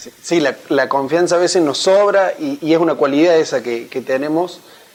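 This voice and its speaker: Against noticeable background noise, a high-pitched man with an Argentine accent speaks with ordinary pitch variation and big swings in loudness. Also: moderate pace. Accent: Rioplatense Argentine Spanish. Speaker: interviewer. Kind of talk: interview.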